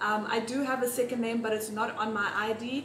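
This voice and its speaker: A woman speaks at a moderate pace with fairly even intonation, with noticeable background noise behind her. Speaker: home baking vlogger. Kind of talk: casual vlog chat and tutorial. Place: kitchen. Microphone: phone near.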